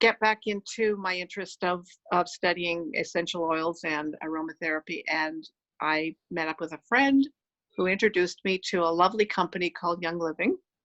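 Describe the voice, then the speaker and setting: A woman's medium-pitched, ordinary speaking voice at a moderate pace, with ordinary pitch variation. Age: 60s. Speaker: essential oils seller. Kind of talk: casual interview chat.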